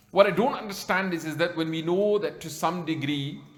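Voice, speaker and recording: Speaking at a very fast pace, a man uses a fairly high pitch. Noticeable background noise and audible room echo fill the recording. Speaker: Islamic scholar giving a talk. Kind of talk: religious lecture.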